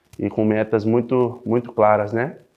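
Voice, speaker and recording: Monotone and flat, a man speaks at fairly low pitch. His pace is moderate over a quiet background. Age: 20s. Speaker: professional footballer. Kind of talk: club interview. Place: studio. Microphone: lapel.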